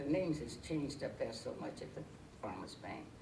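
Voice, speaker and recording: A woman with an American accent talks at a fairly quick pace in a very deep, low pitch. Background noise is noticeable. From Georgia, US. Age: 60s. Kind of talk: interview answer.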